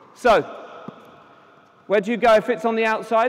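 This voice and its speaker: A man speaks at an extremely high pitch. Noticeable background noise runs underneath. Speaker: tennis coach. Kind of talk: live coaching demonstration. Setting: conference court demonstration with audience, power outage. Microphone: no amplification due to power issue.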